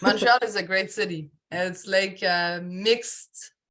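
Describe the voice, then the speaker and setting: A woman with a French accent, very slow, with a bright, sharp tone and ordinary pitch variation against a quiet background. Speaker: podcast host, life coach. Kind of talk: interview podcast.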